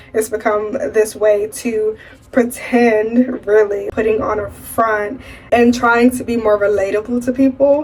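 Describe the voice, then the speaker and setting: Through noticeable background noise comes a woman's high-pitched voice. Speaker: lifestyle vlogger. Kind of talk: casual vlog monologue.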